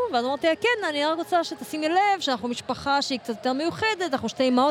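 A woman speaks at a high pitch with lively intonation. Noticeable background noise sits behind her. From Jerusalem, Israel. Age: 40s. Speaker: mother, parade-goer. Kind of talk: street interview.

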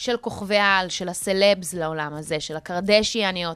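Her medium-pitched voice has a bright, sharp tone as the woman speaks at a moderate pace. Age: 30s. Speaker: radio host. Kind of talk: casual chat. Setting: radio studio.

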